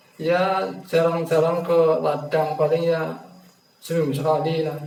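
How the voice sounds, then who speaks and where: Amid noticeable background noise and audible room echo, a man speaks at a fairly slow pace. His pitch is fairly high, with fairly even intonation. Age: 60s. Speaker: elderly farmer, interviewee. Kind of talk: counseling interview. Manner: halting.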